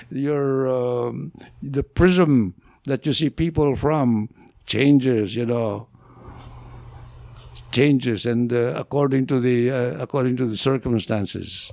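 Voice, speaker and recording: On a very clean recording with a silent background, a man of medium pitch talks at a very slow pace, with ordinary pitch variation and long, frequent pauses. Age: 80s+. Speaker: veteran journalist. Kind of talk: interview answer. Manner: hesitant, reflective.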